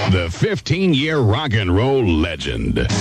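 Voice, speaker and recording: Heavy background noise runs under this dry, echo-free voice with an American accent. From United States, mid-Atlantic. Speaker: radio station announcer. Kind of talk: radio station ID and jingle, aircheck. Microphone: old recording.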